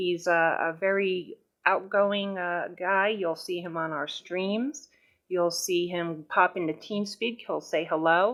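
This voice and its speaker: A woman with a New York accent speaks at a fairly low pitch, her intonation fairly even. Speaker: gaming guild recruiting officer. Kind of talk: informational meeting talk. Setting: voice chat server.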